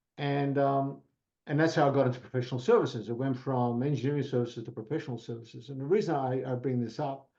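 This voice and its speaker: A man with an Australian accent talks at a very fast pace. His tone is dark and mellow, with a medium pitch and fairly even intonation. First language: Italian. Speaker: professional services executive. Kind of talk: podcast interview. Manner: hesitant, with fillers.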